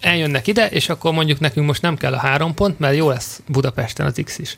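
At a moderate pace, a man with a fairly high pitch speaks in a normal speaking voice with ordinary pitch variation. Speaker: football podcast host. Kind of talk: casual chat.

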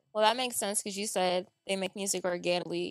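In an American accent, a normal speaking voice goes at a fairly quick pace with fairly even intonation. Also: woman. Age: 20s. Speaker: podcast co-host. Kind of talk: casual chat. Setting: studio.

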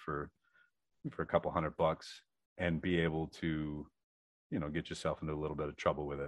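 A man with a very deep, low pitch speaks at a fairly quick pace. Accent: American. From Michigan. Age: 30s. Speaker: welder and metal artist. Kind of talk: casual interview.

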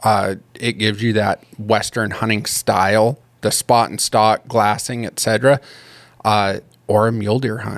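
With an unremarkable speaking voice, a man talks at a fairly low pitch, a fairly slow pace and fairly even intonation. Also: dry, close sound with no echo. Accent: American. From Colorado. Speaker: hunting tags consultant. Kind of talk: casual interview.

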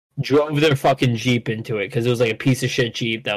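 A man with an American accent, a normal speaking voice, medium pitch and fairly even intonation. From Connecticut, New Haven County. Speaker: comedian. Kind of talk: casual chat.

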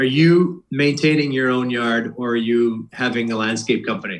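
With an American accent, a man talks at a moderate pace in an ordinary speaking voice, medium in pitch with ordinary pitch variation. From Boston. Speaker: retired hockey player. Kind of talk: casual chat.

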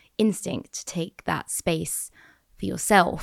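In a very clean recording with a silent background, a woman speaks with a fairly low pitch and vocal fry. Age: 30s. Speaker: podcast host and author. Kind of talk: casual chat.

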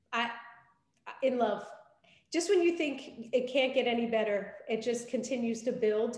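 An energetic, high-pitched woman at a moderate pace, with ordinary pitch variation, long, frequent pauses and audible room echo. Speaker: podcast co-host. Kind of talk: interview.

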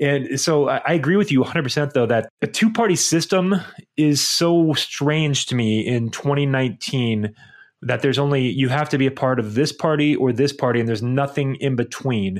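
A man with an unremarkable speaking voice talks at a moderate pace with fairly high pitch, ordinary pitch variation and very even loudness. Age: 30s. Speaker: podcast co-host. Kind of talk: casual chat. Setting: remote recording.

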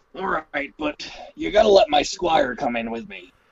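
A man's raspy put-on character voice, fairly high in pitch, with lively intonation, big swings in loudness and a moderate pace. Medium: actual play. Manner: playful, mock-gallant.

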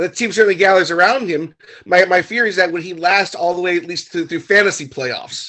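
Speaking with an American accent, a man uses a high pitch, ordinary pitch variation, and a fairly quick pace. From Southern California. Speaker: actor, fantasy football player. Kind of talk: casual chat. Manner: halting.

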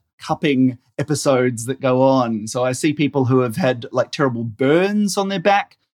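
This man has an Australian accent. The sound is dry and close, with no echo. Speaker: general practitioner doctor. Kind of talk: interview. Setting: pre-recorded remote interview.

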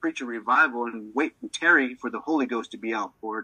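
A man speaks at a fairly quick pace in a bright, sharp tone. The sound is dry and close with no echo. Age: 40s. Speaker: minister. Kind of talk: testimony.

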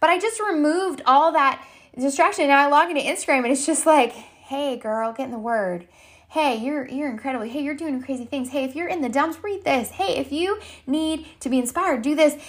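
In an animated tone, a woman with a high voice talks at a fairly quick pace, her intonation lively. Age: 30s. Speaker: podcast host and health and fitness coach. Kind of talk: casual solo podcast monologue. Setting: recording at home during a thunderstorm. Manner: animated, halting with many fillers and restarts.

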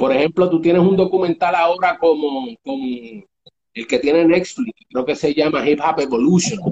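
Moderate pace and ordinary pitch variation from a man, an ordinary speaking voice, fairly high in pitch. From New York (Bronx) and Puerto Rico. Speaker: hip hop radio producer. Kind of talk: interview. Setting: online live stream.

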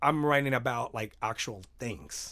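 A man with a Spanish accent. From Mexico, Mexicali. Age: 30s. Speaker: musician. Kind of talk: casual interview.

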